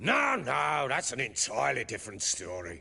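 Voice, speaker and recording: A man's put-on character voice, fairly low-pitched, with very wide pitch swings at a moderate pace. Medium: video game. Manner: gruff, coarse, blunt.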